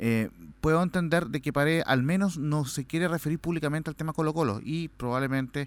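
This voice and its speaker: A man speaks in a plain, everyday voice, with ordinary pitch variation and a fairly quick pace. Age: 40s. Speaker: sports radio producer. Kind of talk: casual chat. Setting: studio.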